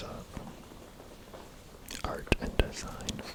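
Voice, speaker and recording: Someone whispers over noticeable background noise. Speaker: ASMR creator. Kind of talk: ASMR photobook review. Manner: whispered; slow, hesitant.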